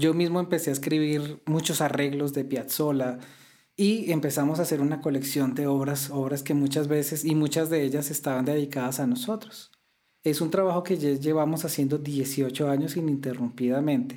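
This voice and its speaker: At a moderate pace, a man speaks at a fairly high pitch in a dark, mellow tone, his intonation fairly even and his loudness very even. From Colombia. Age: 40s. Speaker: classical guitarist. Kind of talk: interview.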